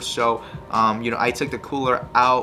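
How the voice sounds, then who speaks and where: A man is speaking. Music plays in the background. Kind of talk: casual vlog chat. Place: home room.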